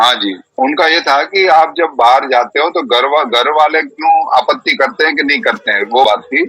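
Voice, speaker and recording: A man's fairly high voice, an unremarkable speaking voice, at a moderate pace with lively intonation and hardly any pauses. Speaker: Vedic preacher and yoga practitioner. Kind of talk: online discussion session.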